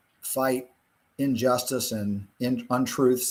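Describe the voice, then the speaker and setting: A man speaks with a Virginia accent. His pace is fairly slow. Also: very clean recording, silent background. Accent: US Southern (Virginia). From Virginia, rural Blue Ridge foothills. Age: 60s. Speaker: physician and cattle farmer. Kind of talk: interview. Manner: halting, many fillers.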